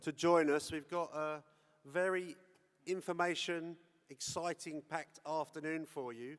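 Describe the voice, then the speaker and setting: A man with a London accent and ordinary pitch variation. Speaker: forum moderator. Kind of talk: formal event hosting. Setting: conference stage.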